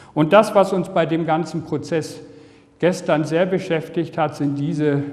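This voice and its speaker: Intonation stays fairly even throughout. This man takes a fairly slow pace. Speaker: health lecturer. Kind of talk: lecture. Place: hall.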